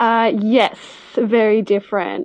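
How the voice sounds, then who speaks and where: Here is a woman in an Australian accent. She talks at a very slow pace. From Melbourne, Australia. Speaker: vintage seller. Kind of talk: interview. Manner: hesitant, many fillers.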